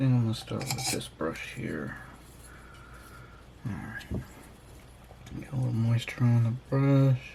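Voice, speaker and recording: Amid audible room echo, a man speaks with long, frequent pauses. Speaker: miniature painting hobby youtuber. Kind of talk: casual tutorial. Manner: mumbling; hesitant, many fillers.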